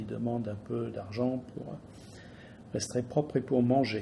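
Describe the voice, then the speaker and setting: Somewhat breathy, this man's voice sits at medium pitch with a dark, mellow tone. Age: 60s. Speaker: business owner. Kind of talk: political statement. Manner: halting.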